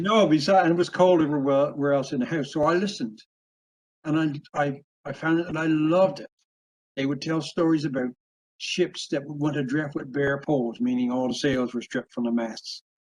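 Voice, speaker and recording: At a fairly quick pace, a man talks in a fairly high voice with ordinary pitch variation. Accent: Newfoundland. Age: 70s. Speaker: author and logger. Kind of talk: interview. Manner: halting.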